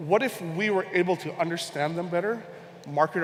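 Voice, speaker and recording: With a Hawaiian accent, a high-pitched man speaks at a fairly quick pace with ordinary pitch variation amid noticeable background noise. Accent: American (Hawaii). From Hawaii, Honolulu. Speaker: conference speaker, e-commerce researcher. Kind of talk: conference talk. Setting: stage with audience.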